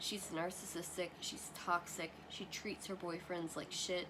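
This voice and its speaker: Noticeable background noise fills the clip. The speaker is a woman. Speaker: vlogger. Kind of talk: casual chat.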